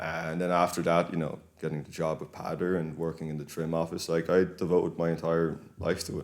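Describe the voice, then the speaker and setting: A man's very deep, low voice in an Irish accent, monotone and flat, fairly quick with hardly any pauses. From Ireland, County Kildare. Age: 20s. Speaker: local political activist. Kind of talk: podcast interview.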